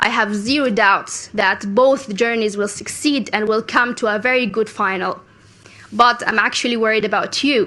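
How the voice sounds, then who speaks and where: A woman with a Sudanese accent, fairly high pitch, fairly even intonation and a moderate pace. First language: Arabic. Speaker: youth climate activist. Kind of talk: conference speech.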